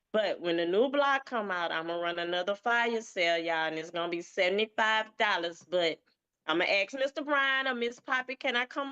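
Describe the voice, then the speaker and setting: A woman in a Southern US accent, bright and sharp in tone, with lively intonation at a moderate pace, dry and close with no echo, against a quiet background. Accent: Southern twang. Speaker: event promoter. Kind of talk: casual chat. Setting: livestream.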